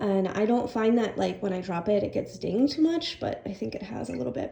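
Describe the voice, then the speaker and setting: Background noise is noticeable throughout. The woman's voice sits at a medium pitch. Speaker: graduate student. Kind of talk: casual vlog talk to camera.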